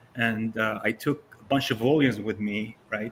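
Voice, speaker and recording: A man speaks at a medium pitch in a monotone, flat intonation. His voice is somewhat breathy. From Syria, Damascus. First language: Arabic. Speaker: comic collector. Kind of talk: presentation.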